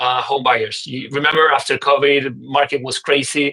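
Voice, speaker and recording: A man's fairly high-pitched voice, bright and sharp in tone, with fairly even intonation. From Uruguay. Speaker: real estate investor. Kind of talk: podcast interview. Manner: halting, with repeated words.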